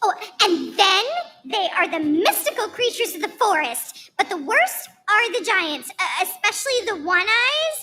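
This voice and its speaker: A woman's put-on character voice, squeaky and extremely high in pitch, at a moderate pace. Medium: stage play. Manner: timid, naive.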